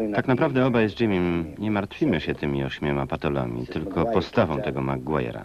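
A man talks at a fairly quick pace in a very deep, low pitch with vocal fry. His intonation is lively. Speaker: Polish film voice-over reader (lektor). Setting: recorded from a VHS tape.

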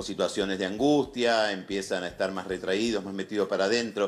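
His pitch fairly low, a man talks with fairly even intonation. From Argentina. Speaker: psychologist; guest. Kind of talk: TV interview. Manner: halting. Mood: serious, concerned. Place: home room.

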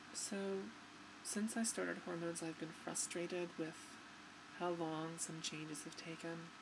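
Woman's fairly low voice at a moderate pace, fairly even intonation, long, frequent pauses, noticeable background noise. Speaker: vlogger. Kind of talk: personal video diary. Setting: home recording to webcam. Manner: halting. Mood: emotional, reflective, somewhat subdued. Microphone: webcam.

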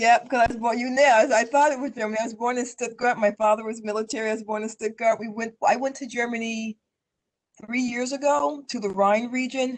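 A woman with an American accent speaks at a fairly quick pace in an unremarkable speaking voice, her fairly high pitch held in fairly even intonation. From US West, Denver, Colorado. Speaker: local politician. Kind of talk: interview. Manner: many fillers and repetitions.

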